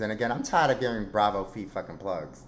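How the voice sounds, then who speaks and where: A man is speaking. His tone is animated. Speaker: podcast host. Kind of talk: casual chat. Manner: loud.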